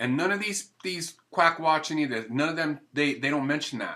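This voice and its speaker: The man's voice has a bright, sharp tone. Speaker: raw food vlogger. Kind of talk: casual vlog monologue. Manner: halting, many fillers and repetitions.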